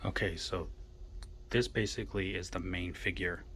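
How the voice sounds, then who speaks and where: A quiet man's voice, very deep and low, with vocal fry, a bright, sharp tone and a fairly slow pace. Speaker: collectibles reviewer. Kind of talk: unboxing video. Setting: in a toy store during business hours. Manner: quiet, voice kept down. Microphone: poor sound.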